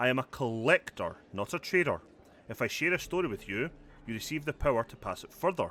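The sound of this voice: With lively intonation, the voice reads in an unforced way.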